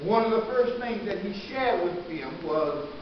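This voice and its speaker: There is light background noise and audible room echo as a man speaks. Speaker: pastor. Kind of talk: sermon. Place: church. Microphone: camera far.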